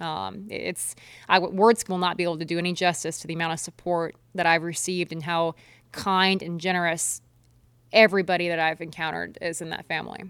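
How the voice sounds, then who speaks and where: A woman with a Midwestern American accent, fairly low in pitch and flat, monotone in intonation, at a fairly quick pace on a very clean recording with a silent background. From eastern Nebraska. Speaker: professional kayak angler. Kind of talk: interview.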